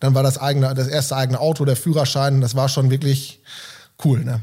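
Somewhat breathy, with a dark, mellow tone, a man at medium pitch speaks in a flat monotone. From Germany, East Westphalia (Delbrück/Hövelhof area). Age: 30s. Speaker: volunteer firefighter and gym member. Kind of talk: casual interview.

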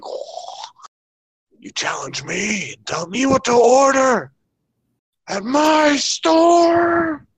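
A put-on character voice speaks at a high pitch and a very slow pace, with long, frequent pauses. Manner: demonic, menacing, challenging.

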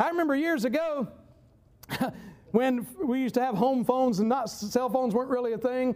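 The speaker sounds animated, with a Southern US accent and ordinary pitch variation. The pace is moderate, and the room echo is audible. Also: man. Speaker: preacher. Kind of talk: sermon.

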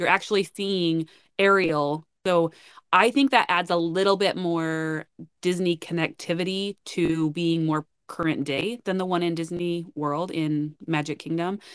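A woman with an American accent and a normal speaking voice talks at a fairly slow pace with a fairly low pitch. Her intonation is fairly even, and the sound is dry and close, with no echo. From northern Utah. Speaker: podcast co-host. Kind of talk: casual chat.

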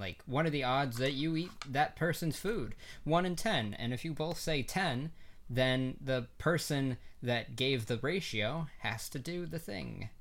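With a normal speaking voice, a man talks at a fairly slow pace, his fairly high pitch carried by lively intonation. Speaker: student filmmaker, podcast co-host. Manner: playful, joking.

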